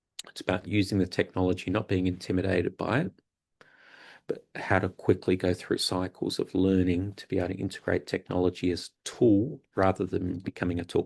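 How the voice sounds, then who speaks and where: A man with an Australian accent and a very deep, low pitch speaks fairly quickly in a somewhat breathy, monotone, flat voice against a quiet background. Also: dry, close sound with no echo. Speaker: university academic, guest speaker. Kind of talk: lecture.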